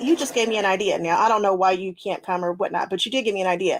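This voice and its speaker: A woman speaks in an animated tone. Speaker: quilting livestream host. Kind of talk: casual livestream chat.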